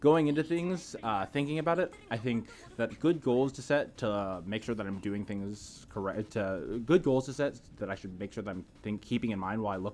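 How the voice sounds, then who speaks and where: With lively intonation, a man talks at a fairly quick pace in a fairly low voice. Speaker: gaming coach and streamer. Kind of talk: gameplay review commentary. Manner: filler-heavy, casual.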